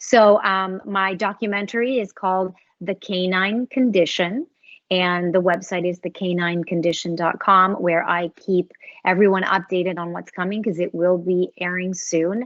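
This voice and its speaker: A woman's medium-pitched voice at a moderate pace with fairly even intonation. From Los Angeles. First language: Spanish. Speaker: voice actress. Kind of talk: casual interview chat.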